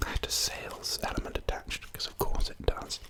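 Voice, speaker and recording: Whispering at a moderate pace in an English accent, a man is heard over noticeable background noise. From England. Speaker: ASMR creator. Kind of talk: ASMR talk to camera. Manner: soft-spoken, whispered.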